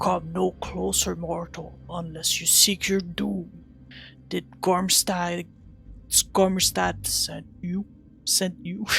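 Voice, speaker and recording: A man's raspy, put-on character voice, high-pitched and very slow, over clear music in the background. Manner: menacing, cackling.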